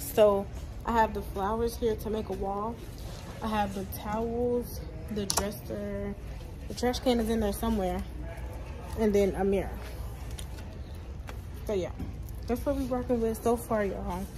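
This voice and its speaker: Long, frequent pauses from a woman at a moderate pace, noticeable background noise behind her. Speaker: vlogger. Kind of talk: casual vlog chat. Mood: excited. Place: shop. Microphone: phone near.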